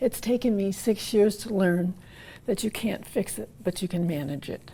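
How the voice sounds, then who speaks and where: A woman's medium-pitched, somewhat breathy voice with a dark, mellow tone, ordinary pitch variation and a moderate pace. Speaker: woman living with Parkinson's. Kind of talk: interview.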